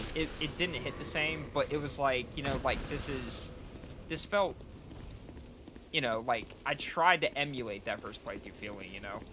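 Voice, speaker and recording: A man speaks at a moderate pace in a fairly high voice with lively intonation. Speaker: gaming streamer. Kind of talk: casual chat. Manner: soft-spoken; halting.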